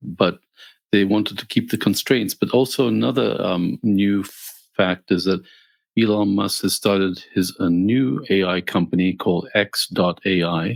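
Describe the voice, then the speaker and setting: A man's fairly low voice with vocal fry at a fairly slow pace, dry and close with no echo, on a very clean recording with a silent background. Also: ordinary pitch variation. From Greece. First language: Greek. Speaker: podcast co-host, engineer and coder. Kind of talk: casual chat. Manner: halting, many fillers.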